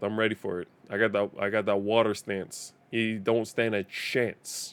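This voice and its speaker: Speaking with an East Coast accent and hardly any pauses, a man holds a fairly low pitch in monotone, flat intonation. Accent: American East Coast sounding English. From Denmark. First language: Danish. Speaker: gaming streamer. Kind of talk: live gameplay commentary. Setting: live stream.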